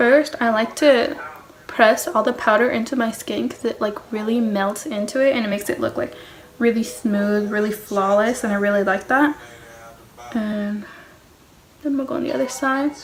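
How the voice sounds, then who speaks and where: A woman speaks at a moderate pace with a fairly high pitch. Long, frequent pauses break up her speech over noticeable background noise. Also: ordinary pitch variation. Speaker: beauty vlogger. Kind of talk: makeup tutorial.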